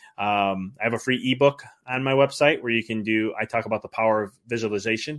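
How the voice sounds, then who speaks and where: A man with an ordinary speaking voice talks at a fairly quick pace, with a medium pitch and ordinary pitch variation. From US Midwest, Chicago area. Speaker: business mindset coach, former chiropractor. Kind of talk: interview conversation.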